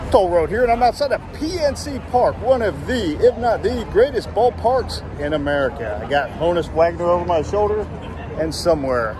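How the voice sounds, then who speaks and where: Crowd noise fills the background as a man speaks at a moderate pace, the sound itself dry with no echo. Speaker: travel vlogger. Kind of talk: casual vlog chat. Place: street. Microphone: phone near.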